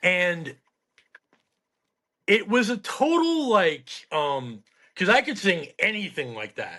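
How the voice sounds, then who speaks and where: At a very slow pace with long, frequent pauses, a man speaks in a raised, projected voice of high pitch and bright, sharp tone, with very wide pitch swings. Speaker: former residential program student. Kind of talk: casual chat.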